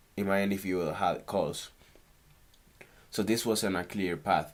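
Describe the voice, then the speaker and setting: Speaking with a Spanish accent, a man talks at a fairly slow pace with ordinary pitch variation. It is a very clean recording with a silent background. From Canary Islands, Spain. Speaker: stock trader. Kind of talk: casual screen-recorded trading tutorial.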